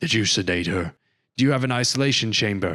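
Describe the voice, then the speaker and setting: A raspy, put-on character voice races along at a very fast pace, its intonation lively and its loudness very even. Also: man. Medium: read story. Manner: commanding.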